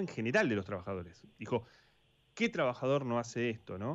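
A man is speaking. His intonation is lively. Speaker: sports radio host. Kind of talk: radio talk show. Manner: halting, many fillers.

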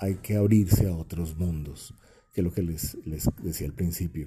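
A man speaks at a moderate pace in a dark, mellow tone that is somewhat breathy. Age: 40s. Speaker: podcast host, creative school director. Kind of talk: solo monologue podcast. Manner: casual, conversational with fillers.

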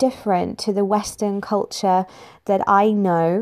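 In an East Midlands accent, a woman speaks at a moderate pace in a medium pitch with a dark, mellow tone. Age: 20s. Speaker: podcast host. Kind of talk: scripted intro; interview.

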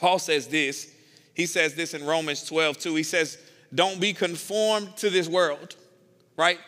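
A man with a Southern US accent speaks at a fairly slow pace in a high, bright and sharp voice, his intonation fairly even. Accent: Southern American. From US South. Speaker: pastor. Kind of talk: sermon.

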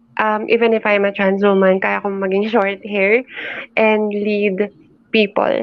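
A woman talks with a Filipino accent at a fairly slow pace. Her pitch is medium and her intonation is monotone and flat. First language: Tagalog. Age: 20s. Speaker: entrepreneur and YouTube creator. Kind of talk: casual interview with Taglish code-switching.

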